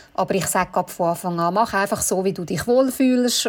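A woman with an unremarkable speaking voice talks at a medium pitch. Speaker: bridal shop owner. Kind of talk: casual chat.

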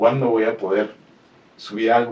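The man's voice sits at a medium pitch. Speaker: metal podcast producer. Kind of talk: interview. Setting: studio.

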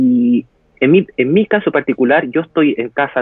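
This is an unremarkable speaking voice from a male speaker. Moving at a moderate pace, his pitch varies in an ordinary way. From Chile. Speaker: interviewee on quarantine life. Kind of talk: interview over live video.

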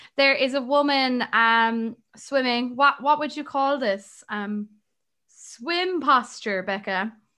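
In an Irish accent, a woman speaks at a very slow pace with a high pitch and a bright, sharp tone, recorded very cleanly over a silent background. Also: ordinary pitch variation. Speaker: podcast co-host. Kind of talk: casual chat.

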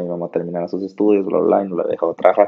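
A man's fairly low voice with a monotone, flat delivery. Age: 20s. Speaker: podcast host. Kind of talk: casual chat. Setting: remote recording over internet.

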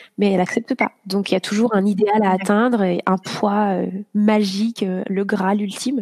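A woman at a moderate pace in a monotone, flat intonation, with a dry, close sound with no echo. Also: medium pitch for a woman. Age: 30s. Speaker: yoga teacher. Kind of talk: casual chat. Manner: halting.

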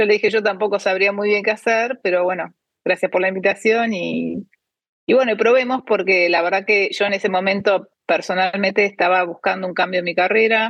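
A woman's medium-pitched voice moves at a fairly quick pace, her intonation fairly even. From Argentina. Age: 50s. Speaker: cancer researcher and biotech startup founder. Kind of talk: interview. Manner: hesitant, many fillers.

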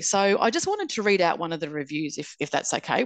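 The speaker is a woman with an Australian accent. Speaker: podcast host and author. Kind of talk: casual interview chat.

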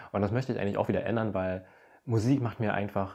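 An unremarkable speaking voice comes through with fairly even intonation. The background is quiet. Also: man. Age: 20s. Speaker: influencer and podcast host. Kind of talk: casual monologue.

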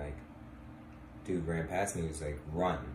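A man with a very deep, low pitch and an American accent, fairly even intonation, and noticeable background noise. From Washington DC. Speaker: podcast host. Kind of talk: casual chat.

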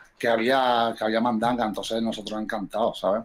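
At a moderate pace, a man with a medium pitch speaks in a monotone, flat way over noticeable background noise. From Córdoba, Andalusia, Spain. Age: 40s. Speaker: rapper and DJ. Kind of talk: casual chat.

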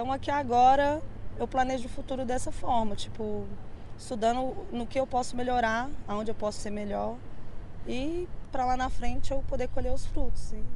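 Audible room echo surrounds a woman's high-pitched voice. She speaks at a moderate pace with ordinary pitch variation. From Contagem, Minas Gerais, Brazil. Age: 30s. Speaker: DJ and music producer. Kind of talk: interview. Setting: outdoors on a bar street. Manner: casual slangy.

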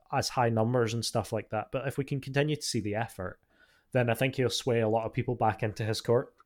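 A man with a British accent at a fairly quick pace, on a very clean recording with a silent background. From Britain. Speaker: podcast co-host, NFL fan. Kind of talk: casual chat.

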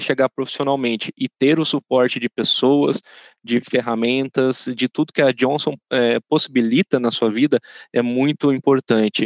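An ordinary speaking voice from a man, fairly high in pitch, at a moderate pace with fairly even intonation, dry and close with no echo against a quiet background. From Brazil, São José dos Campos (São Paulo state). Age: 30s. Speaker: intern in career transition. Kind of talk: corporate podcast interview.

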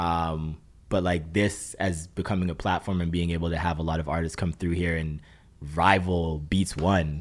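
In a Toronto accent, a man speaks at a moderate pace with a very deep, low pitch and monotone, flat intonation. The recording is very clean, and the background is silent. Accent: Toronto Canadian English. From Brampton, Ontario, Canada. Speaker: musician. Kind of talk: interview. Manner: casual, hesitant with many fillers.

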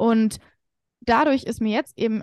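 Here a woman speaks in a normal speaking voice. Her intonation stays fairly even. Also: dry, close sound with no echo. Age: 20s. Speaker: confidence coach. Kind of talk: casual chat.

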